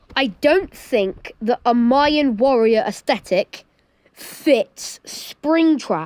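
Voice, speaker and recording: A woman with a high voice speaks very slowly, her intonation lively and her loudness very even, in a dry, close sound with no echo. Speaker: gaming YouTuber. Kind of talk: tier list commentary. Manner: animated.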